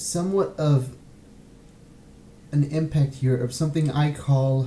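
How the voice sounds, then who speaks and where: This voice is somewhat breathy. It belongs to a man. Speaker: podcast host. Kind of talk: casual podcast commentary. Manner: halting, hesitant, many filler sounds.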